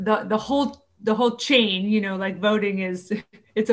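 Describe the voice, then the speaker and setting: Fairly high in pitch with fairly even intonation, this woman has an ordinary speaking voice. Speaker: army veteran and pastor. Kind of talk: panel discussion.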